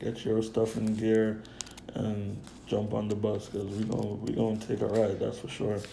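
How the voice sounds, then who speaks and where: Recorded with noticeable background noise and audible room echo, a man of medium pitch speaks at a moderate pace. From Jamaica. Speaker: stock trading youtuber. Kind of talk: casual stock picks talk. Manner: animated.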